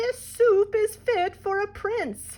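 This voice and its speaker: The voice is a squeaky, put-on character voice. Its intonation stays fairly even. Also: woman. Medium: read story.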